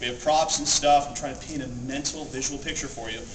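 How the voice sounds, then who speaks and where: Noticeable background noise fills the recording. Over it, a man speaks fairly quickly. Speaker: convention panel presenter. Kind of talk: live panel talk to audience. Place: hall. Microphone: camera far.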